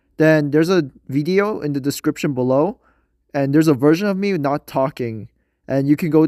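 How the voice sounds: A man speaks at a moderate pace in a nasal, slightly mellow voice, with ordinary pitch variation.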